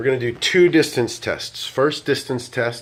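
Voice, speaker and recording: A man with an ordinary speaking voice talks at a fairly slow pace, with a medium pitch and ordinary pitch variation. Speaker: DJ doing product reviews. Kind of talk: product review tutorial. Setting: indoors in block building, speaking through wireless microphone to speaker. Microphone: handheld wireless mic through speaker with moderate echo, camera in other room.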